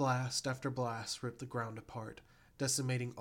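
The reading voice is unforced. It stays that way from start to end.

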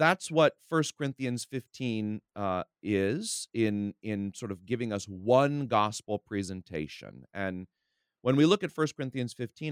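With lively intonation, a man speaks at a fairly low pitch, the sound dry and close with no echo. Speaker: preacher. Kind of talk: casual Bible discussion. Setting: remote recording.

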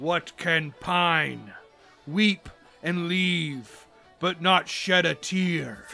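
Faint music plays behind a man using a put-on character voice. His pitch is high and his pace very slow. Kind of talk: theatrical riddle-posing. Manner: playful, mock-menacing, jolly.

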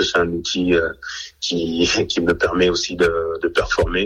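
A man with a very deep, low pitch speaks at a very slow pace in a monotone, flat way. Noticeable background noise runs underneath. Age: 30s. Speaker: rugby player. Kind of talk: radio interview. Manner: halting.

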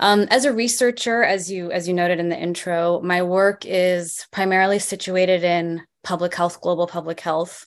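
An unremarkable speaking voice from a woman with an American accent, medium pitch, fairly even intonation, moderate pace and hardly any pauses, against a quiet background. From US, moved from West Bank at age four. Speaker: public health professor. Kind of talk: interview.

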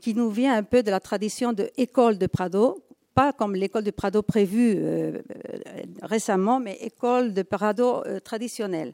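A woman with a Spanish accent speaks at a fairly slow pace in a fairly high pitch. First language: Spanish (speaking French). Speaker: museum conservator. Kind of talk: conference talk.

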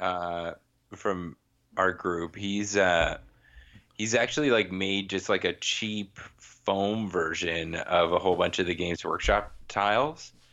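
Talking at a very slow pace, a man uses a fairly low pitch. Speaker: podcast host, wargaming hobbyist. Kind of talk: casual chat.

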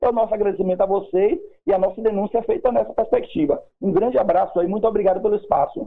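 A high-pitched man's voice at a very fast pace. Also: ordinary pitch variation, very even loudness. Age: 30s. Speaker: mayoral candidate. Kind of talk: radio interview. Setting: phone call. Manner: halting.

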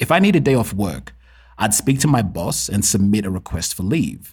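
Somewhat breathy, a man speaks at a fairly low pitch with very wide pitch swings. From Kenya. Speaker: podcast host. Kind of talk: solo podcast monologue.

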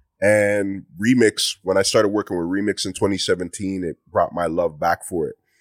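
Fairly even intonation at a moderate pace with hardly any pauses, in a dry, close sound with no echo and a very clean recording with a silent background. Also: man, fairly low pitch for a man. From Mississauga, Ontario, Canada (Ghanaian parents). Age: 30s. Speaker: music producer and rapper. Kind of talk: casual interview chat.

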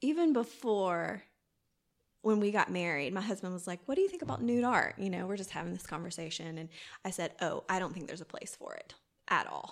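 A woman with a Southern US accent, medium pitch, lively intonation and big swings in loudness, on a very clean recording with a silent background. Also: fairly quick pace. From US South, southwest Georgia. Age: 30s. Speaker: boudoir photographer. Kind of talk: casual interview.

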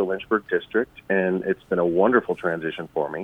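The speaker has a plain, everyday voice. Pitch varies in an ordinary way, and the pace is fairly quick. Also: man. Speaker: transportation department spokesperson, former TV reporter. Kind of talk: radio interview.

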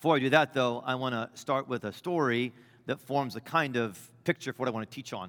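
The man talks at a fairly quick pace, medium in pitch, with ordinary pitch variation. The recording is very clean and dry, close with no echo, over a silent background. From US Midwest. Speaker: bishop. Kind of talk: sermon. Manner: loud at times.

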